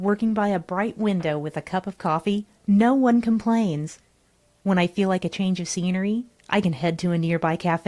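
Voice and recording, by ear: The reading aloud is done in a natural voice, and its pitch moves in an ordinary way.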